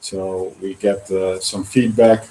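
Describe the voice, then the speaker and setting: A man with a Dutch accent talks in a dark, mellow tone, his intonation monotone and flat. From Netherlands. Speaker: startup founder. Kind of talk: presentation. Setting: live presentation with audience, online broadcast. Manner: halting with many fillers.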